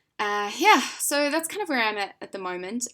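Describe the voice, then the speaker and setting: With a New Zealand accent, a woman speaks fairly slowly in a bright, sharp tone with lively intonation, on a very clean recording with a silent background. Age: 20s. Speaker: vlogger sharing personal health experience. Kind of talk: casual vlog talk. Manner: informal, hesitant with many fillers.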